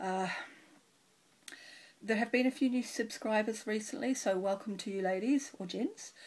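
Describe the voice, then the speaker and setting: With a New Zealand accent, a woman talks in a somewhat breathy voice. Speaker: cross stitch video blogger. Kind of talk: casual chat.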